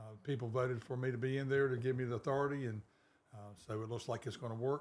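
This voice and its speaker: With a South Carolina accent, a man speaks at a very fast pace using fairly even intonation. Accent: Southern US (South Carolina). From US South, South Carolina (Darlington). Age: 60s. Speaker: small-town mayor. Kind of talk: interview. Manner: hesitant, many fillers.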